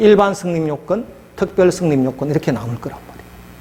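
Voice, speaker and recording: A man speaks fairly quickly with lively intonation, noticeable background noise running behind him. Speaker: law lecturer. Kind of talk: lecture.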